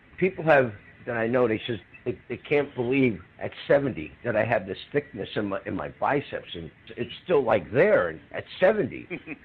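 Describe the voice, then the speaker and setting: With very wide pitch swings, a man speaks at a moderate pace in a medium pitch over noticeable background noise. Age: 70s. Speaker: retired professional bodybuilder. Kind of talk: interview. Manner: animated.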